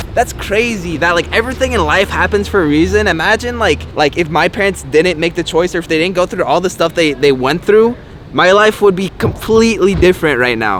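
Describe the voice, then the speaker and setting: Over noticeable background noise, a man with an American accent speaks fairly quickly in a high pitch with lively intonation. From California. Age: 20s. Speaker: youtuber. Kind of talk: vlog narration. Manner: casual.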